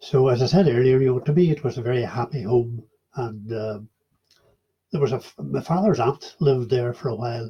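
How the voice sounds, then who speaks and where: Somewhat breathy and dark, mellow in tone, a man at medium pitch speaks at a fairly quick pace. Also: ordinary pitch variation. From Ireland, Donegal (Inishowen, near Derry). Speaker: oral history interviewee. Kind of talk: oral history interview. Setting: online video call. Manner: hesitant, many fillers.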